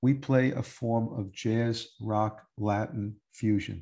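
A man with an American accent talks in a plain, everyday voice at a medium pitch with fairly even intonation against a quiet background. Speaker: musician and podcast host. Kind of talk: interview.

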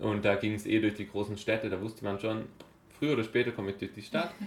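A man talks at a very fast pace in a medium pitch. Noticeable background noise runs behind him. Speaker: long-distance cyclist and project founder. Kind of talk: casual interview. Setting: studio over breakfast.

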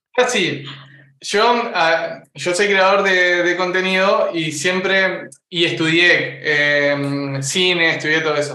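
A man's high-pitched voice at a very slow pace, with ordinary pitch variation and audible room echo. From Uruguay. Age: 20s. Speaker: content creator. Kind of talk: casual chat.

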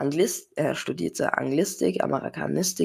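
Someone reads in a natural reading voice.

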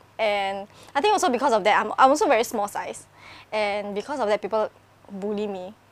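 A woman with an ordinary speaking voice at a fairly high pitch. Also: ordinary pitch variation. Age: 20s. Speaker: YouTuber. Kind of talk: casual chat.

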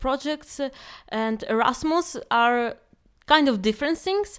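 A woman with a Ukrainian accent and a high pitch speaks at a fairly slow pace with lively intonation, in a very clean recording with a silent background. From Ukraine. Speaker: project coordinator. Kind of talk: casual chat.

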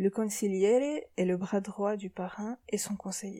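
At a moderate pace, a woman of medium pitch speaks with fairly even intonation in an unremarkable speaking voice. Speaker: podcast host, psychology assistant. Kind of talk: scripted commentary. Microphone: poor recording quality.

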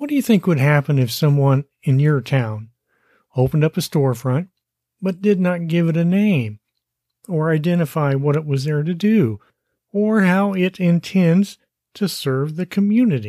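With a dark, mellow tone and lively intonation, the speaker goes at a moderate pace on a very clean recording with a silent background and a dry, close sound with no echo. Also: man, fairly high pitch for a man. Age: 60s. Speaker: podcast host, online marketing coach. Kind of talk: solo monologue podcast.

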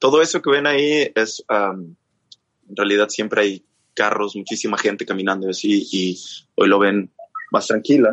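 Pausing long and often, a man talks at a moderate pace and a fairly low pitch with ordinary pitch variation. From northern Mexico, Chihuahua. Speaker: singer and musician. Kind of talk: casual chat.

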